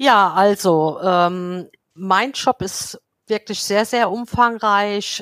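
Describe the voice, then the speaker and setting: Her intonation fairly even, a woman speaks at a medium pitch in a dry, close sound with no echo. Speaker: head of housekeeping at a clinic. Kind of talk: casual interview. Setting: remote call.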